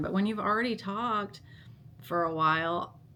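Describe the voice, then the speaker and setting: A woman is speaking. Her tone is bright and sharp. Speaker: vlogger. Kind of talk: casual vlog monologue. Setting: self-recorded on a handheld vlog camera. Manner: halting, with hesitations and restarts.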